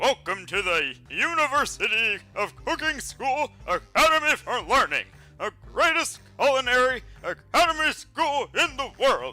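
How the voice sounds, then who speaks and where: A man's put-on character voice at an extremely high pitch, moderate in pace with hardly any pauses. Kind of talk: formal academic welcome.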